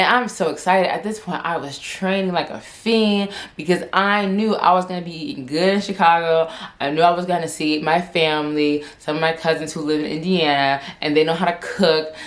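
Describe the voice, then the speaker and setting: A woman talking at a fairly quick pace with ordinary pitch variation, amid noticeable background noise and audible room echo. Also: fairly low pitch for a woman. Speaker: vlogger. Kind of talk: casual chat. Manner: stuttering.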